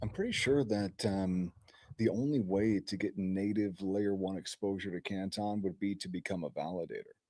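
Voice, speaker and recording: Quietly and at a moderate pace, a man speaks with a fairly low pitch, a dark, mellow tone and fairly even intonation. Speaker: crypto show co-host. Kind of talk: casual chat.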